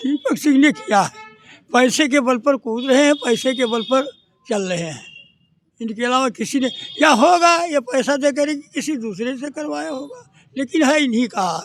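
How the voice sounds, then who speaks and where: Here is a man with an extremely high pitch. His intonation is lively. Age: 80s+. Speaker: retired teacher, victim's grandfather. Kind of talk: protest interview.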